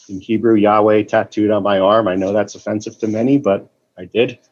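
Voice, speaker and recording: At a moderate pace, a man with an American accent speaks in a monotone with flat intonation. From Boston. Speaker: meeting participant sharing. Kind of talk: recovery meeting share. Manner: emotional, distressed.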